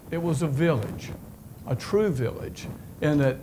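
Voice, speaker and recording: In a North Carolina accent, a man speaks at a moderate pace with a fairly high pitch, ordinary pitch variation and audible room echo. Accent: Southern US (North Carolina). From US South, eastern North Carolina. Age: 70s. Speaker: retired business executive. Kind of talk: lecture.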